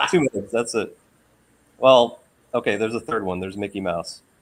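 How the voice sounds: An ordinary speaking voice comes from a man at a medium pitch, moving at a fairly quick pace with ordinary pitch variation.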